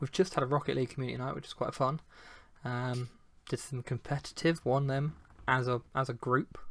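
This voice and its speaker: Soft-spoken delivery, fairly quick pace, fairly even intonation. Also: man, medium pitch for a man. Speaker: gaming community founder and podcast host. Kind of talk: casual chat. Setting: live stream. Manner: quiet.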